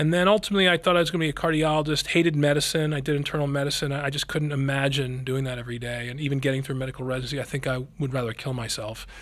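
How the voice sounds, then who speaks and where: At a very fast pace and with hardly any pauses, a man speaks at a fairly high pitch with an American accent against noticeable background noise. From Philadelphia area, US. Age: 50s. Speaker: neurosurgeon. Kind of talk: interview.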